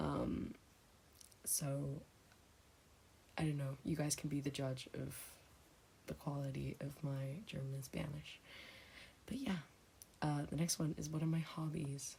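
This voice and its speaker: Quiet and somewhat breathy, a woman with a very deep, low pitch and a dark, mellow tone speaks at a fairly slow pace with fairly even intonation and long, frequent pauses. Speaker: ASMR creator. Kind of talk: casual Q&A chat. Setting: home, thin walls. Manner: speaking quietly; hesitant, many fillers.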